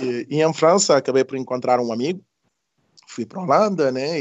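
Speaking at a fairly quick pace, this man has a fairly high pitch. His pitch varies in an ordinary way. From Senegal (Casamance). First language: not Portuguese; learned it as adult (speaking Portuguese). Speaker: community activist and mediator. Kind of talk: interview conversation. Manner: halting, repeating words.

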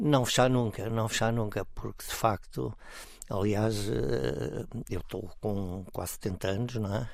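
A man's fairly low voice at a fairly slow pace, with ordinary pitch variation, long, frequent pauses and audible room echo. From Portugal, Estoril near Lisbon. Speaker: volunteer and parents' association leader. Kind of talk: radio interview.

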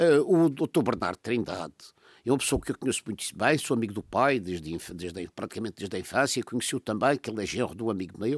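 Pitched in the medium range, a man talks at a very fast pace with lively intonation. The sound is dry and close with no echo, on a very clean recording with a silent background. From Madeira, Portugal. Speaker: political commentator. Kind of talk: political discussion.

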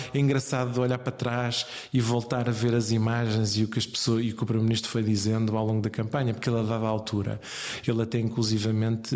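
This man talks at a fairly quick pace in a medium pitch, with noticeable background noise behind him. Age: 40s. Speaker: politician, campaign coordinator. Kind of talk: interview. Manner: hesitant, many fillers.

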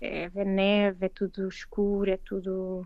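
With a Lisbon accent, a woman speaks very slowly at a medium pitch in a dark, mellow tone. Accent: European Portuguese, Lisbon. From Portugal, Lisbon. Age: 40s. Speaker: veterinarian. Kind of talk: interview. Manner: halting, many repetitions.

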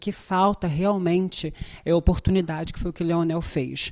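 A woman speaks at a fairly quick pace in a fairly low pitch, her dark, mellow tone carrying fairly even intonation over a quiet background. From Brazil, favela. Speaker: actress. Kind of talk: interview.

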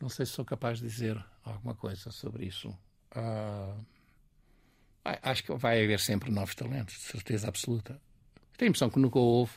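Recorded very cleanly against a silent background, a man at a medium pitch speaks somewhat breathily at a moderate pace, with fairly even intonation and long, frequent pauses. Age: 80s+. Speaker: painter and art school founder. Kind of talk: interview. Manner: halting.

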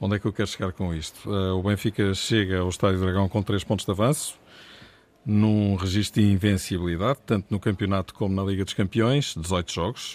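At a fairly quick pace, a man with an unremarkable speaking voice talks at a fairly low pitch with fairly even intonation. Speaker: football commentator. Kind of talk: radio panel discussion.

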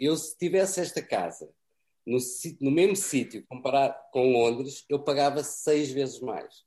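A man with a dark, mellow tone and a fairly high pitch speaks at a fairly slow pace. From Portugal. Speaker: cameraman. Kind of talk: interview. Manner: repeats words, halting.

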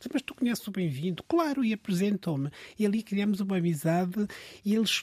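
At a moderate pace, a man speaks with lively intonation in a dry, close sound with no echo. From Mozambique. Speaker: dancer and choreographer. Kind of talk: casual chat.

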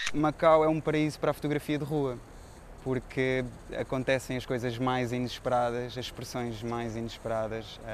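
In an ordinary speaking voice, a man talks at medium pitch and a moderate pace with fairly even intonation. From Portugal. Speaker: veterinarian and photographer. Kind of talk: interview.

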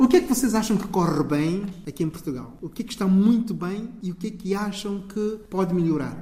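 Lively intonation over noticeable background noise. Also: man. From São Tomé and Príncipe. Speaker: community radio host. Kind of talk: interview.

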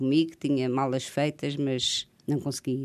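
This woman's pitch is very deep and low, with a dark, mellow tone. She speaks at a fairly slow pace. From Azores, grew up on São Miguel. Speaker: poet and writer. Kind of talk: radio interview.

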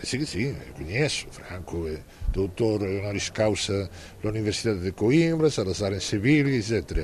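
A man with a Galician accent speaks fairly slowly, with very wide pitch swings. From Galicia, Spain. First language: Galician (speaking Portuguese). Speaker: novelist. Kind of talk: interview. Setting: literary festival. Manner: halting.

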